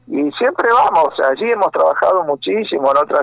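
In a dry, close recording with no echo, a man talks at a fairly slow pace. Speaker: pastor and rock musician. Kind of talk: phone interview.

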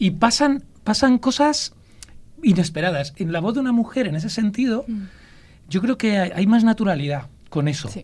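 Pausing long and often, a man with a Castilian accent and a high pitch talks at a moderate pace with very wide pitch swings, in a very clean recording with a silent background. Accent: Castilian inland accent, noticeable. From Ávila, central Spain. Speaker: storyteller. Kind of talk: casual chat.

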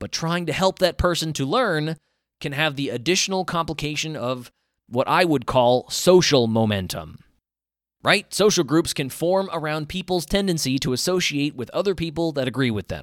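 With an American accent, a man in an unremarkable speaking voice talks at a moderate pace and a fairly high pitch, his intonation lively, in a very clean recording with a silent background. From US South. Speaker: solo podcaster. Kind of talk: monologue.

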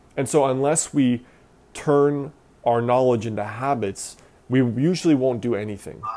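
A dark, mellow tone carries ordinary pitch variation at a moderate pace. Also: man, medium pitch for a man. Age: 30s. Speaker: self-improvement blogger. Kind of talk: interview.

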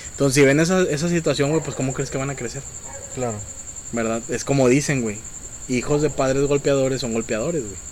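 Over noticeable background noise, a man with a Mexican accent talks at a fairly quick pace, with a fairly high pitch and ordinary pitch variation. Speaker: podcast host. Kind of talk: casual chat.

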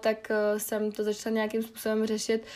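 A woman at a moderate pace, fairly high in pitch. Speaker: podcast host. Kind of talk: casual solo monologue. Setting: home bedroom. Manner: casual, filler-heavy.

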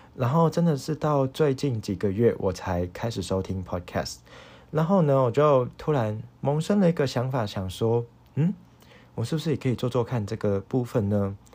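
On a very clean recording with a silent background, a man speaks at a moderate pace and medium pitch, with lively intonation and a dark, mellow tone. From Hong Kong. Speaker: podcast host, university student. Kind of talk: solo casual monologue, unscripted. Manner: halting, many fillers.

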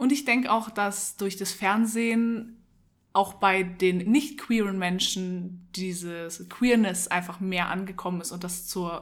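A woman with a normal speaking voice at a medium pitch talks at a fairly slow pace, with big swings in loudness. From Munich, Germany. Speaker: podcast co-host. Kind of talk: casual chat. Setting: at home in a flat.

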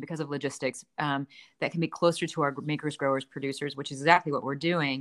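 In a dry, close sound with no echo, a woman speaks at a very fast pace. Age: 40s. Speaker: ice cream company founder. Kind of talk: casual chat. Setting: remote call. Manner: animated.

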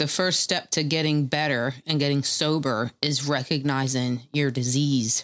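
At a fairly slow pace, a woman talks with a very deep, low pitch. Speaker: podcast co-host. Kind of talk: casual chat. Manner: repeats himself, stutters.

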